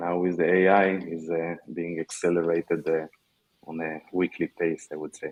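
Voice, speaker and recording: A man with an Israeli accent talks at a moderate pace. His very deep, low voice has a monotone, flat intonation. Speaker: tech startup founder. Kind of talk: panel discussion. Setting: virtual meetup.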